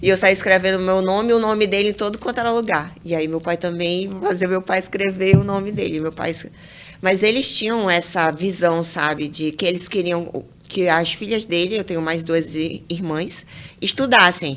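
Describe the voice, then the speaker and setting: A woman with a medium pitch talks with fairly even intonation amid noticeable background noise. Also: moderate pace. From Brazil, interior of Amazonas (near Manacapuru). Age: 30s. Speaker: civil engineer. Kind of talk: interview conversation. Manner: halting, with repeated words.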